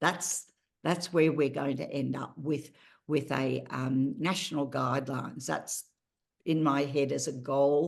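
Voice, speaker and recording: The speaker has an Australian accent and vocal fry. The pace is fairly slow and the intonation fairly even. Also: woman, very deep, low pitch for a woman. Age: 70s. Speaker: patient advocate. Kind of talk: interview.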